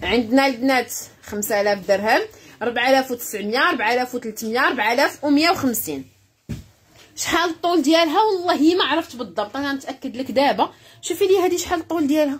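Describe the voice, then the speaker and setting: Her pitch is high, and this woman's voice makes very wide pitch swings. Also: fairly slow pace. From Morocco. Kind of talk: live-stream sales pitch. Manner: animated. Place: shop. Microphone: phone near.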